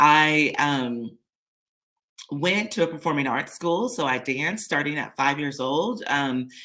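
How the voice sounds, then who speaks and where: A woman talks at a fairly slow pace in a very deep, low pitch. Her intonation is lively. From San Diego, California, US. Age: 40s. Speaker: lifestyle vlogger. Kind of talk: personal story on a livestream. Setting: live stream. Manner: casual, many filler words.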